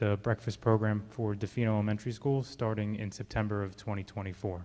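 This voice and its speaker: A very fast-talking man with a dark, mellow tone at a medium pitch. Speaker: school district administrator. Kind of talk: presentation at board meeting. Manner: monotone; quiet.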